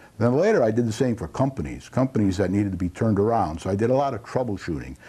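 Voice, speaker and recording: Speaking at a very fast pace with lively intonation, a man with an American accent has a dark, mellow tone on a very clean recording with a silent background. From Connecticut, Torrington. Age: 70s. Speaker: local TV host, retired business executive. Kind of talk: talk show monologue. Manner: halting.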